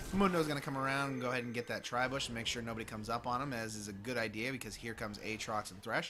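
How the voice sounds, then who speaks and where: With a bright, sharp tone, a man speaks at a very fast pace and medium pitch, with ordinary pitch variation and hardly any pauses. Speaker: esports caster. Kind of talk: live commentary.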